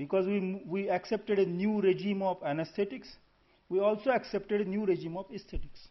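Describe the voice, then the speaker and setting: With an Indian accent, a man talks at a fairly quick pace in a high voice with fairly even intonation. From India (Maharashtra/Gujarat). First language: Marathi and Gujarati. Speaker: conference speaker, language scholar. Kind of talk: conference talk. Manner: halting, with self-corrections.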